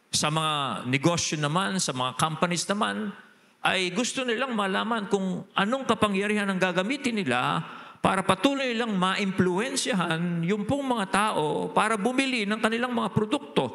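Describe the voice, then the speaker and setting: Raised and projected, a man's high-pitched voice carries lively intonation. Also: moderate pace. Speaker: pastor. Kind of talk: sermon. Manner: changes voice when preaching.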